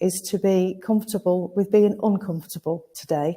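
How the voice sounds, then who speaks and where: A woman talks at a medium pitch in a dark, mellow tone. Her voice is somewhat breathy and her intonation fairly even. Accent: northern English. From northern England, Lancashire. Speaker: recruitment consultancy founder, webinar host. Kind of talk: webinar hosting. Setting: live webinar from an agency office.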